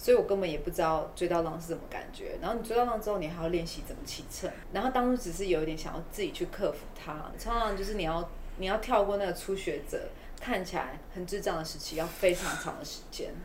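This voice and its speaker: Speaking very fast in a Taiwanese accent, a woman uses a medium pitch with ordinary pitch variation, with audible room echo and noticeable background noise. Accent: Taiwanese Mandarin. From Taiwan, Taipei. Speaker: community eco-tourism promoter. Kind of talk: casual interview.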